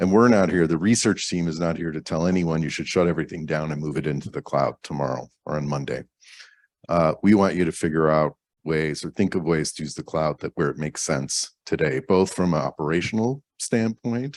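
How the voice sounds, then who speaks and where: Speaking at a fairly quick pace, a man uses a very deep, low pitch with ordinary pitch variation. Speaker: cloud company research team member. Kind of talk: conference lightning talk. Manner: casual, conversational.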